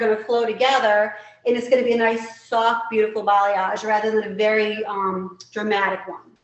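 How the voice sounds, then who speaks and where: The speaker is a woman talking at a moderate pace. Audible room echo surrounds her voice. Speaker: hair educator. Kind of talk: live product demo tutorial. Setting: live stream.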